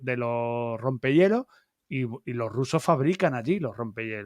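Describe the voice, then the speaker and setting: In a very clean recording with a silent background, a man with an Andalusian accent speaks very slowly with lively intonation. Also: dry, close sound with no echo. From Andalusia, Algeciras. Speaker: YouTube channel host. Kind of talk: live-stream interview. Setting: live stream.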